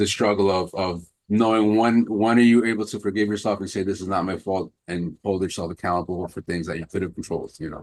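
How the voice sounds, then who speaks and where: A man's fairly low voice at a very fast pace, with a New York accent and fairly even intonation. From New York, Queens. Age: 40s. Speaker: personal trainer and martial arts instructor. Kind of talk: interview. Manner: halting.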